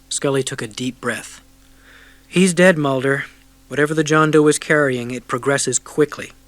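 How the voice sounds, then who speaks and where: A man at a fairly high pitch and moderate pace, fairly even in intonation, with music in the background. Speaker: audiobook narrator. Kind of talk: audiobook narration.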